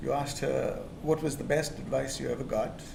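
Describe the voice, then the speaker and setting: Over noticeable background noise and audible room echo, a man speaks with a non-native accent. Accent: foreign. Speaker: retired engineer, audience volunteer interviewee. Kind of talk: casual interview. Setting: stage with audience.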